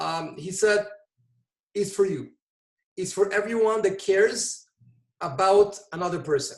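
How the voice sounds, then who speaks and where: With a Portuguese accent, a man speaks in a high pitch with ordinary pitch variation. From Brazil. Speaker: volunteer EMT. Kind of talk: interview conversation.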